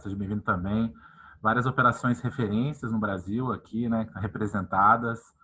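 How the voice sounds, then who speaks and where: Using a bright, sharp tone, a man talks at a fairly quick pace in a monotone, flat intonation. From Goiás, Brazil. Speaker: panel host, sales event. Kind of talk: online panel discussion. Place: office. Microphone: earbuds.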